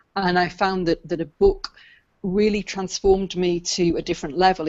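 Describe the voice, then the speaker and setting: Intonation stays fairly even in this voice with a British accent. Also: woman. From UK. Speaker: business coach and book coach. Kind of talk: interview.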